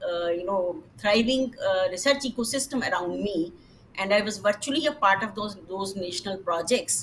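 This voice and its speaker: Speaking with a Punjabi accent, a woman of medium pitch talks at a moderate pace with lively intonation over noticeable background noise. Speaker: retired government scientist, panelist. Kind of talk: panel discussion. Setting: webinar. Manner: hesitant, many fillers.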